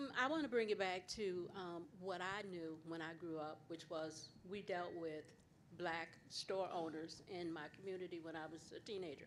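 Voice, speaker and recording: An unremarkable speaking voice at a moderate pace with ordinary pitch variation. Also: woman, fairly low pitch for a woman. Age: 60s. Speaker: audience member. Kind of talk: audience question.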